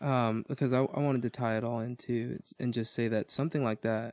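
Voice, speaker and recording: A plain, everyday voice from a man at medium pitch and moderate pace. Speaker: podcast host. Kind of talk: casual Bible discussion. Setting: church studio.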